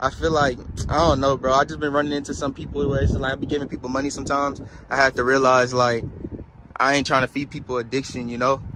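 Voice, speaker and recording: A man with an American accent speaks at a very fast pace and medium pitch. His intonation is monotone and flat, with noticeable background noise. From New Orleans. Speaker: street interviewer. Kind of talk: street interview.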